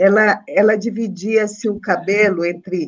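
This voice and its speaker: This woman talks fairly slowly, and the background is quiet. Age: 50s. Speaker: court councillor. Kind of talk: formal court session. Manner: casual, humorous. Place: home room. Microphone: video call.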